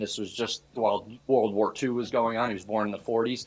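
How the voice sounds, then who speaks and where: The speech comes at a very fast pace. It carries a New York accent. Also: man. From New York, Hudson Valley near Poughkeepsie. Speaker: police chief. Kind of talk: self-introduction to student government. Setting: student association meeting. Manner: casual, conversational.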